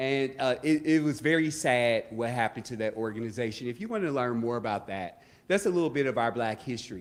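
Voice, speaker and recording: A man's medium-pitched voice with an American accent and ordinary pitch variation. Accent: Southern drawl, come back. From US South. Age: 40s. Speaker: community organizer. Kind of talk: event speech. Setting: stage with audience. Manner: halting.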